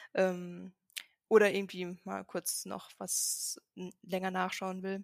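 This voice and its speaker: A woman speaks with medium pitch and monotone, flat intonation. The sound is dry and close, with no echo. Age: 20s. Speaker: software developer. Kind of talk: casual chat.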